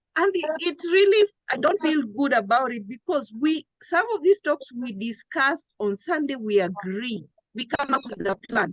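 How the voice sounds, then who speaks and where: Loud and animated, the voice moves at a moderate pace with very wide pitch swings in a dry, close sound with no echo. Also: woman, high pitch for a woman. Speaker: trading coach. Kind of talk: live trading town hall.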